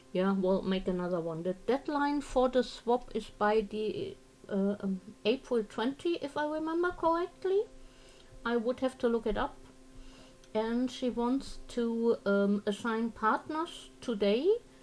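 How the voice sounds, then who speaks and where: A woman with a German accent talks at a fairly slow pace, her fairly high voice making very wide pitch swings. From Germany. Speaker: crafting streamer. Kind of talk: casual livestream chat. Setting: live stream.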